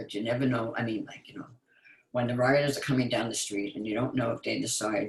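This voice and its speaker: Somewhat breathy, a man of medium pitch talks at a fairly quick pace with fairly even intonation. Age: 80s+. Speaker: call participant. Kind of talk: casual chat.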